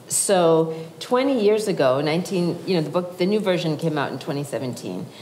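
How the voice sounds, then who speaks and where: A fairly low-pitched woman's voice in an American accent, lively in intonation, with noticeable background noise and audible room echo. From Massachusetts. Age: 60s. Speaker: author and psychologist. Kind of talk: public talk. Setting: stage with audience.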